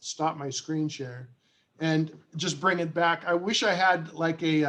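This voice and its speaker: A man with an unremarkable speaking voice, fairly high in pitch, at a fairly slow pace and with fairly even intonation. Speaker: presenter at a committee meeting. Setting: online video meeting with screen share.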